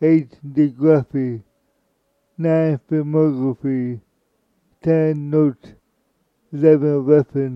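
The speech is very slow and monotone, flat in intonation, broken by long, frequent pauses. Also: man, fairly high pitch for a man. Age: 60s. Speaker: podcast host. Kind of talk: reading aloud. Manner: halting.

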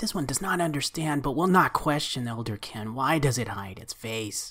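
Someone uses a put-on character voice pitched in the low-to-middle range. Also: moderate pace. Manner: formal, deferential, speaks of itself as "this one"; broken, halting phrasing.

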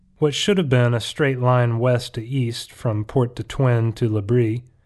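The clip is reading aloud in a natural voice with fairly even intonation.

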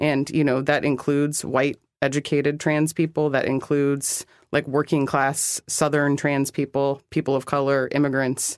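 The recording is very clean, with a silent background. The talking proceeds at a moderate pace. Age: 30s. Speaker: policy strategist. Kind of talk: interview. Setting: studio.

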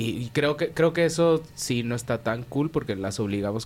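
Talking at a fairly quick pace with lively intonation, a man of medium pitch speaks with a Mexican accent. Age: 30s. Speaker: podcast co-host. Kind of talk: casual chat.

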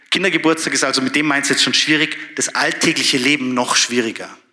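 At a fairly quick pace, a man speaks in an animated tone, his fairly high pitch showing ordinary variation. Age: 30s. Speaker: doctor and church speaker. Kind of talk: sermon.

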